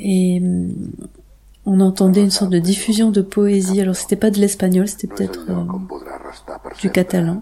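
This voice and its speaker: A woman with a dark, mellow tone and a somewhat breathy voice speaks at a moderate pace in a monotone, flat way, with long, frequent pauses. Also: medium pitch for a woman. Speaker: sound artist and composer. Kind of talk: interview. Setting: radio interview. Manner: halting, many repetitions.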